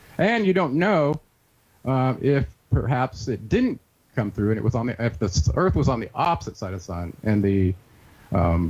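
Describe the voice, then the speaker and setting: A man with a dark, mellow tone and a somewhat breathy quality talks at a fairly quick pace and medium pitch. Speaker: researcher and author. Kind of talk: interview. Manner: fast.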